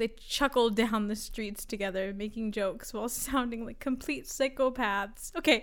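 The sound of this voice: What we hear is an unforced reading voice.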